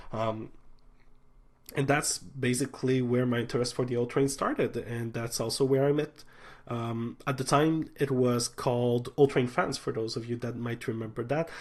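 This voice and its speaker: Against a quiet background, a man of medium pitch speaks with a strong Quebec accent in a monotone, flat intonation. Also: moderate pace. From Quebec City, Quebec. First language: French. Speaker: transit channel host. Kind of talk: livestream chat. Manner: halting, many fillers.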